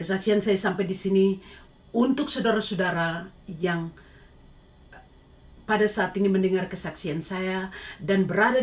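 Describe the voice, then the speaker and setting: Somewhat breathy, a woman with a Papuan accent speaks at medium pitch and a fairly slow pace with fairly even intonation. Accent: Papuan Indonesian. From Papua, Indonesia. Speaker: lay evangelist giving testimony. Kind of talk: testimony. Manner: preachy exhortation.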